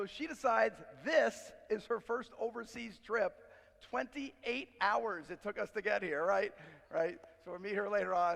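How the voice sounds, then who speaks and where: Loud and animated, a man talks at a moderate pace in a high voice with lively intonation. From New York. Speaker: business speaker. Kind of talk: conference keynote. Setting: stage with audience.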